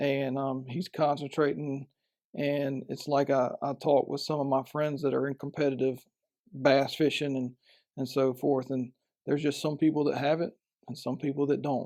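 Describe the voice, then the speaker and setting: Fairly high in pitch with a dark, mellow tone, a man speaks at a moderate pace in monotone, flat intonation, in a very clean recording with a silent background. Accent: Southern US. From Florida Panhandle, Bay County. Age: 40s. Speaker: professional fisherman. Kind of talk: podcast interview.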